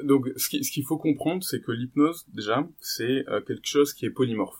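A man talks at a moderate pace and medium pitch in a very clean recording with a silent background. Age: 20s. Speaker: physiotherapist and hypnosis trainer. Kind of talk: interview conversation. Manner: hesitant, many fillers.

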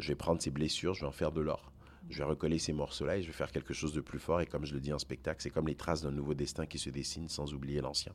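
A man speaks at a very fast pace with a very deep, low pitch. Vocal fry runs through his voice. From Côte d'Ivoire, Togolese parents, French school system. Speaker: singer-songwriter, slam poet. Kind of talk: interview. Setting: festival backstage.

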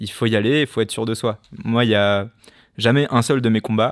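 A man with a fairly low pitch and fairly even intonation speaks in an ordinary speaking voice. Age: 20s. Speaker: professional boxer and entrepreneur. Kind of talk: personal testimony monologue.

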